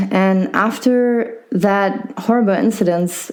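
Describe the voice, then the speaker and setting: Audible room echo surrounds a woman speaking at a very slow pace. Her pitch is medium, with ordinary variation. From Germany. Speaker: podcast host and physiotherapist. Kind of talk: interview. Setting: podcast interview.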